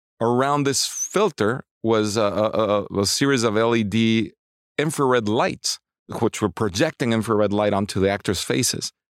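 A man with a Spanish accent speaks at a medium pitch and a moderate pace, his pitch varying in an ordinary way. His loudness stays very even, and the recording is very clean with a silent background. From Mexico City, Mexico. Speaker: cinematographer. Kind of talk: interview. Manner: halting, frequent repetitions.

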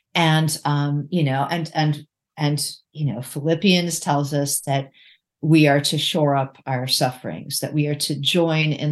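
A woman's very deep, low voice at a very slow pace, fairly even in intonation, over a quiet background. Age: 60s. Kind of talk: interview.

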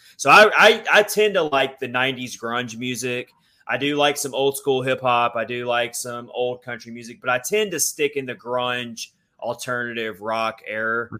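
Speaking at a moderate pace, a man uses a medium pitch with ordinary variation, a bright, sharp tone, and big swings in loudness. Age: 30s. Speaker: hockey podcast host. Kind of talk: casual chat.

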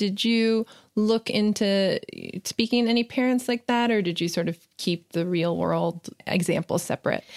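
A woman with a plain, everyday voice talks at a moderate pace in a medium pitch with ordinary pitch variation. The recording is very clean, with a silent background and a dry, close sound with no echo. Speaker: entertainment journalist interviewer. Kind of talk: interview questions, podcast host.

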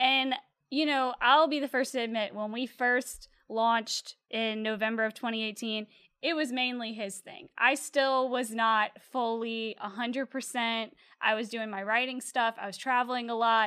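With a Louisiana accent, a woman talks at a moderate pace in a fairly high pitch, her tone bright and sharp and her intonation fairly even. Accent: Louisiana Southern US. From Louisiana (Slidell, North Shore). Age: 20s. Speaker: clothing brand co-founder. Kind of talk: casual interview.

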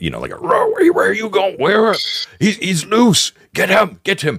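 A man's put-on, gruff character voice, shouting at a high pitch and a very slow pace. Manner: enraged shouting.

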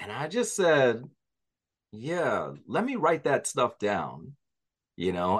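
The man talks at a fairly slow pace, and the background stays quiet. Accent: New York. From New York, Jamaican-American family. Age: 40s. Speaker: author. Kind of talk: interview.

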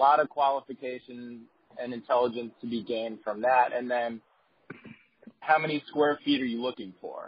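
A man speaks in a normal speaking voice at a medium pitch. His intonation stays fairly even. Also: moderate pace. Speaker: commercial leasing agent on call. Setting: phone call.

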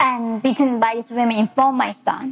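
Someone with a Korean accent talks at a moderate pace in an animated tone over noticeable background noise. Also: woman. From North Korea. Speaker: human rights activist and author. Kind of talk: lecture. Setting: stage with audience. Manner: animated, humorous.

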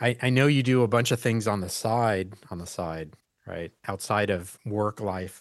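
Lively in intonation, a man with a plain, everyday voice speaks at a medium pitch. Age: 60s. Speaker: podcast host, IT company founder. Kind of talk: interview conversation.

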